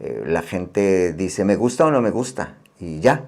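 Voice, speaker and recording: Speaking at a fairly slow pace, a man with a very deep, low pitch uses lively intonation. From Mexico City. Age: 60s. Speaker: painter and art teacher. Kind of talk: interview. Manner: halting, many fillers and repetitions.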